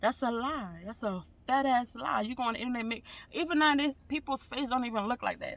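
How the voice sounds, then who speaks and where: Using a raised, projected voice, a man speaks at an extremely high pitch. His tone is bright and sharp, and his pace fairly quick. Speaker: vlogger. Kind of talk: casual vlog monologue. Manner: fast.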